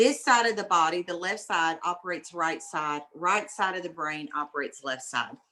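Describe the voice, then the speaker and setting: The tone is bright and sharp, with a Southern US accent. Intonation moves in a lively way. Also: woman. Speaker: mother of brain injury survivor, speaker. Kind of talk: talk to a class. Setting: video call. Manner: animated.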